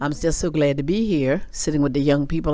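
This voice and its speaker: A woman's very deep, low voice at a fairly quick pace, with audible room echo. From US South, South Carolina (Florence). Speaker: senior center member interviewee. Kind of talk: interview.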